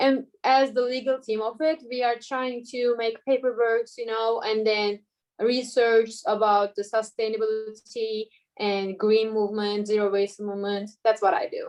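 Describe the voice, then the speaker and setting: In a Turkish accent, a woman speaks at a fairly high pitch with monotone, flat intonation. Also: moderate pace. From Turkey, Istanbul. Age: 20s. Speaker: law student. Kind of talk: casual interview.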